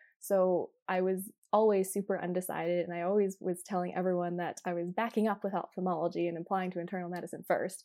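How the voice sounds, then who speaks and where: A woman's medium-pitched, dark and mellow voice with a Canadian accent, flat and monotone, at a very fast pace with hardly any pauses. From Alberta, Canada. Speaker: medical graduate. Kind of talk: casual chat.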